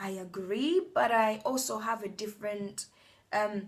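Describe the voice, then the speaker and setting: The woman's voice sounds somewhat breathy. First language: a non-English native language. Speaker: vlogger. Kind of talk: motivational talk to camera. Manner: hesitant, many fillers and restarts.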